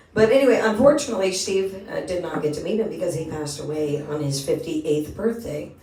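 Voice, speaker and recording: With audible room echo and noticeable background noise, a woman with a fairly low pitch talks at a fairly quick pace, her intonation lively. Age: 50s. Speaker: singer and podcast host. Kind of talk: casual chat.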